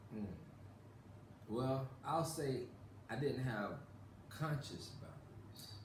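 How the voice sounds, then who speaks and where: With long, frequent pauses, a man talks at a very slow pace. His pitch is medium, and audible room echo surrounds him. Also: ordinary pitch variation. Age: 30s. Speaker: guest YouTuber. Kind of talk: casual interview chat.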